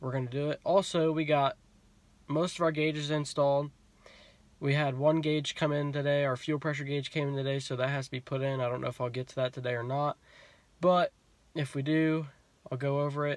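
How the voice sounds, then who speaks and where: In a dry recording with no echo, a man speaks fairly quickly in a monotone, flat intonation. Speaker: car hobby vlogger. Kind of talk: casual vlog chat. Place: car. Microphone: phone near.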